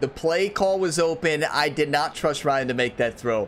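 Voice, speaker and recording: Here a man with a fairly high pitch speaks at a moderate pace with ordinary pitch variation. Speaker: gaming YouTuber. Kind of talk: gameplay commentary. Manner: animated.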